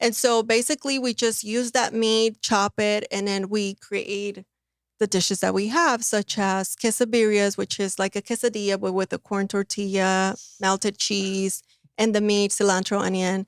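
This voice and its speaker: A woman speaks at a moderate pace and medium pitch with a Spanish accent and fairly even intonation. The recording is very clean, with a silent background and a dry, close sound with no echo. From Mexico City, raised in the US. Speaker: food truck owner. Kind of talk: podcast interview.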